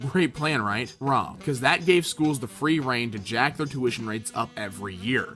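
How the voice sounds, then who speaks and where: Over music in the background, a man at a medium pitch speaks at a moderate pace with lively intonation. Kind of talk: opinion rant to camera.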